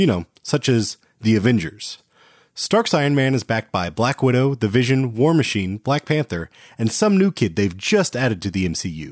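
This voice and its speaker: A man at a medium pitch sounds animated and playful, his pitch swinging very widely, in a dry, close recording with no echo and a silent background. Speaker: podcast host. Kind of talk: casual chat; wrestling-style ring announcer promo. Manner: animated, playful.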